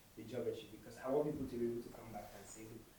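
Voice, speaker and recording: A man speaks with a Nigerian accent. His voice is somewhat breathy. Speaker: intern architect. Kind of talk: conference talk.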